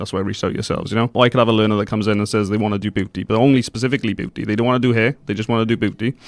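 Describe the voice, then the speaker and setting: The sound is dry and close, with no echo. A man with a South Wales Valleys accent talks at a fairly low pitch. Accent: Pontypridd (South Wales Valleys). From South Wales, Pontypridd area. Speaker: youth training provider staff. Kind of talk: radio interview.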